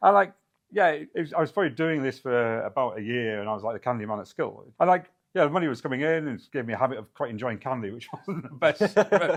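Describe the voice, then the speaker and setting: Lively in intonation, a man with a British accent talks at a very fast pace and a fairly high pitch. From UK. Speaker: software company founder. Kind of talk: interview.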